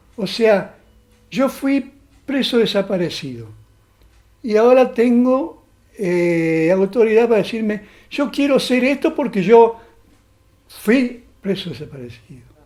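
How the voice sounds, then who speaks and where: Here a man speaks in a high pitch at a very slow pace. Long, frequent pauses break up his speech. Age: 70s. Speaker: former political prisoner. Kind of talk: testimony. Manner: halting, with frequent fillers.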